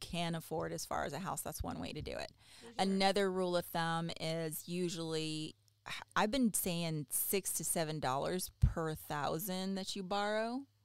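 On a very clean recording with a silent background, a woman with an American accent speaks at a moderate pace in a plain, everyday voice with fairly low pitch. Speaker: podcast host. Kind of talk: casual interview chat.

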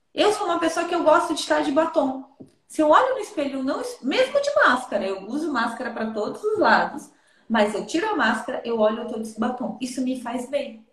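A woman talks at a fairly quick pace in a high voice with very wide pitch swings. Audible room echo surrounds her. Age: 30s. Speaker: therapist. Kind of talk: advice talk in interview.

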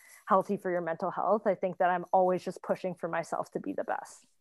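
A woman with an ordinary speaking voice talks at a fairly quick pace and medium pitch. The sound is dry and close, with no echo. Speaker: startup co-founder. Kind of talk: casual panel discussion. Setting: online audio chat room.

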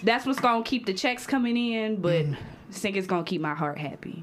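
A woman talks at a medium pitch with ordinary pitch variation, over noticeable background noise. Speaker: guest, poet and college student. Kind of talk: casual chat.

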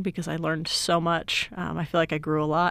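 This woman has a fairly low pitch and talks at a fairly quick pace. It is an unremarkable speaking voice. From Utah, Salt Lake City. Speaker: IT director. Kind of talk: interview.

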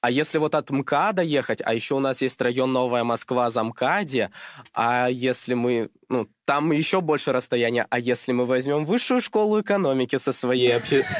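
Recorded dry and close with no echo, a man with an unremarkable speaking voice keeps very even loudness, medium pitch and ordinary pitch variation at a moderate pace. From Russia, Krasnodar Krai. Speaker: chemistry tutor, student. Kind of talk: casual chat.

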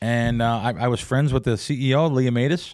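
A man with an American accent at a fairly quick pace, medium-pitched with ordinary pitch variation, on a very clean recording with a silent background. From New Jersey / New York area. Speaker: professional sports bettor. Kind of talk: casual interview. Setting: studio.

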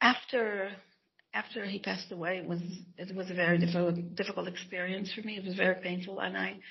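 Vocal fry runs through the speech. The pace is fairly quick. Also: woman.

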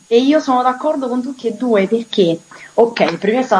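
There is noticeable background noise behind this woman. Her pitch shows ordinary variation. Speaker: singer. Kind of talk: interview. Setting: remote call.

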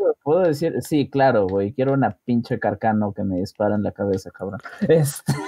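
A fairly quick pace in a Mexican accent. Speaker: podcast co-host. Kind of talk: casual chat.

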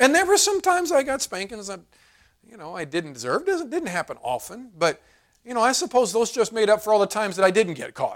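A man talks at a very fast pace in a high voice, with very wide pitch swings and big swings in loudness. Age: 40s. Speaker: pastor. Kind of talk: sermon. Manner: halting.

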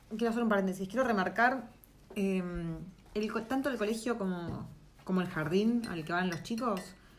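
A woman with a Rioplatense accent at medium pitch and moderate pace, ordinary pitch variation, long, frequent pauses, and audible room echo. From Argentina. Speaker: podcast co-host. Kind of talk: casual chat.

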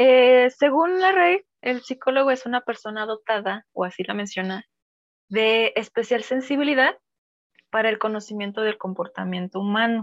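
A woman's fairly high voice, lively intonation and moderate pace, captured in a very clean recording against a silent background. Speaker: psychologist. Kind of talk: casual chat. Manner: stumbles over words.

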